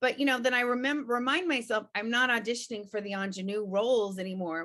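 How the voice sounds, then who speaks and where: A woman's fairly high, bright and sharp voice, animated in tone with lively intonation. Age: 50s. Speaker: voice and on-camera confidence coach. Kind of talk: interview.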